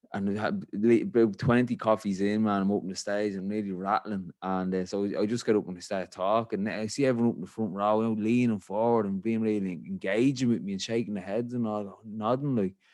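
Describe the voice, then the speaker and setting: With an Irish accent, a man talks at a fairly quick pace and fairly low pitch, hardly pausing at all. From Ireland. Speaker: podcast host. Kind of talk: casual chat. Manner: animated.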